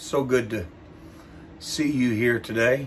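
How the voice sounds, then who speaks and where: The man speaks at a very slow pace with fairly even intonation. Noticeable background noise is present. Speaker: ministry leader and preacher. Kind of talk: personal health update. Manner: slow, halting.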